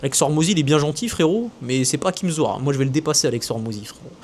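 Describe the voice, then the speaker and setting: Very fast and animated, this man speaks at a fairly high pitch. His pitch varies in an ordinary way. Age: 20s. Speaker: business coach and content creator. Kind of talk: casual monologue to camera.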